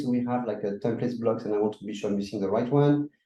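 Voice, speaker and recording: This man speaks in a French accent. His tone is dark and mellow. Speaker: workshop presenter. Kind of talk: tutorial.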